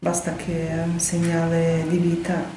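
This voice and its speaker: A woman with a Ukrainian accent speaks in a dark, mellow, somewhat breathy voice, with audible room echo. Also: light background noise. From Ukraine. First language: Ukrainian (speaking Italian). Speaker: Ukrainian resident interviewee; interviewee. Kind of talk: emotional testimony. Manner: faint, choked voice. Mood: serious, worried. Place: studio.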